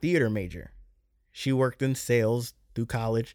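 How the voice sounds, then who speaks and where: On a very clean recording with a silent background, a man with an ordinary speaking voice talks at a fairly quick pace, at medium pitch with ordinary pitch variation. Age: 30s. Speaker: podcast host. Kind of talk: casual solo monologue. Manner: casual, many filler words.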